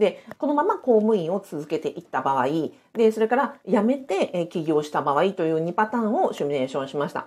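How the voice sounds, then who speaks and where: A woman is speaking at a fairly quick pace. Her pitch sits in the medium range. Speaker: former civil servant, side-business and real estate coach. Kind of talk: live-streamed solo talk. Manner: many fillers, conversational.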